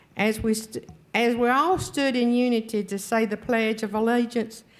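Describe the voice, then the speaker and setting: With a Southern US accent, a woman talks at a moderate pace. Her pitch is fairly high. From North Carolina. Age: 70s. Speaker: public commenter at county board meeting. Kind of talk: public comment speech.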